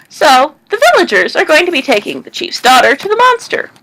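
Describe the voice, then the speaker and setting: A woman's put-on character voice, extremely high in pitch, with very wide pitch swings and a fairly quick pace. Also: big swings in loudness. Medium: read story. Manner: warm, knowing.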